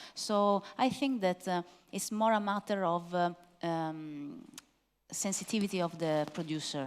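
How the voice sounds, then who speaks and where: Someone with an Italian accent talks at a fairly slow pace, using ordinary pitch variation. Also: woman, medium pitch for a woman. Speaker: wine expert presenter. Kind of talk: masterclass Q&A. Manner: hesitant, many fillers.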